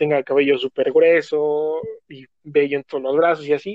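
A man with a normal speaking voice, fairly high-pitched, at a moderate pace. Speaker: podcast guest. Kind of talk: casual chat.

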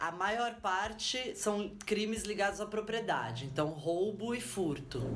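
Very slowly, a woman of medium pitch speaks with lively intonation, hardly any pauses and very even loudness. Noticeable background noise runs underneath. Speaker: sociologist. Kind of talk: interview.

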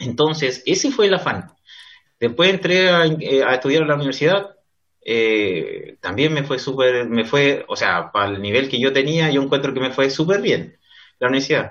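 A man speaks with a fairly high pitch and lively intonation. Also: moderate pace. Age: 30s. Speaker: lawyer. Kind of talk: interview. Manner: halting.

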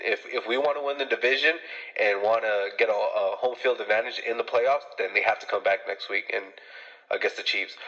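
A man's fairly quick speech against noticeable background noise. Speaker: sports fan caller. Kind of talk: fan game recap. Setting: phone call. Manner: animated.

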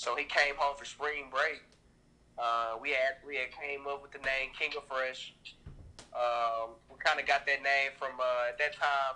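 With an American accent, a man speaks at a fairly slow pace in a fairly high pitch, using monotone, flat intonation and big swings in loudness, over noticeable background noise. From US South, Nashville, Tennessee. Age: 20s. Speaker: clothing brand founder. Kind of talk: casual interview.

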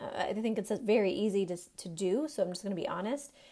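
With noticeable noise behind her, a woman talks at a fairly quick pace in an animated tone. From Maine. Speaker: podcast host, business coach for moms. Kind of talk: podcast monologue, coaching talk.

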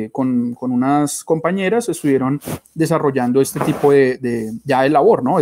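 Speaking at a moderate pace, a man uses a medium pitch, ordinary pitch variation and a dark, mellow tone. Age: 30s. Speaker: molecular biology researcher. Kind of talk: interview. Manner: halting.

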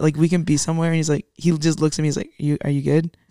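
A woman with a fairly low pitch speaks in an animated tone. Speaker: podcast co-host. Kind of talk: casual chat. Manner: animated, talkative.

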